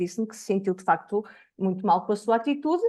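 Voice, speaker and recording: Over a quiet background, a woman with a European Portuguese accent speaks at a fairly high pitch with very wide pitch swings. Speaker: education researcher. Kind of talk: academic seminar talk.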